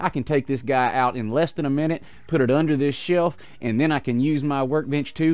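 The man speaks fairly quickly. There is fairly little rise and fall in his intonation. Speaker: hobby channel host. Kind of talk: casual vlog chat. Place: home room. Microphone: headset.

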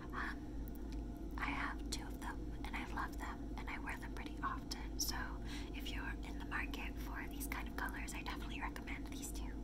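A soft-spoken woman whispers at a moderate pace in a relaxed tone. Loud background noise fills the recording. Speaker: ASMR creator. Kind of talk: ASMR makeup showcase talking to camera. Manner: soft, whispery, relaxed. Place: home room. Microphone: phone near.

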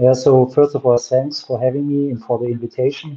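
A man's monotone, flat intonation in a German accent over a quiet background. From Germany. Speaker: watch brand founder and designer. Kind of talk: interview on a livestream. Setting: video call. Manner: laughs often, relaxed. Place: home room.

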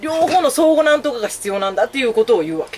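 A woman is speaking. The swings in her pitch are very wide. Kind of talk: casual conversation. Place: office. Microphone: camera far.

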